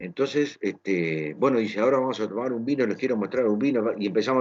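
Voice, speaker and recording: Lively in intonation, a man at a medium pitch speaks at a fairly quick pace. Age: 60s. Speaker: interviewer. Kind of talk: casual interview chat. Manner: hesitant, many fillers.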